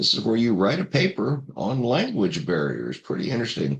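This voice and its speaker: Vocal fry colors a man's medium-pitched voice as his pitch swings very widely. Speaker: course instructor. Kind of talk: recorded course introduction. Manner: halting, many fillers.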